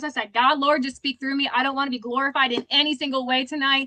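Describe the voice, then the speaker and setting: Very fast and animated, a woman uses a raised, projected voice at a high pitch. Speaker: sales director. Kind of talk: motivational talk.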